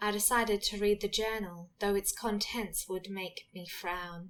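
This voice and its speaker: At a fairly slow pace, a woman with a plain, everyday voice speaks at a medium pitch and with fairly even intonation. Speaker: poet reading own poem. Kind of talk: poetry reading.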